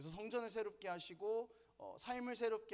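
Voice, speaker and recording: A man talks with a northern Gyeonggi accent. His pitch variation is ordinary. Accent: northern Gyeonggi pronunciation, self-noted. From northern Gyeonggi, South Korea. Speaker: Sunday school curriculum lecturer. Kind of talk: lecture. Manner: casual, conversational.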